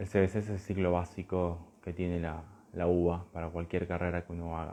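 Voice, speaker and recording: A soft-spoken man talks at a fairly quick pace in a very deep, low voice. His tone is dark and mellow, with monotone, flat intonation. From Argentina, Buenos Aires area. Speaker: philosophy teacher. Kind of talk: live stream talk. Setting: Instagram live video.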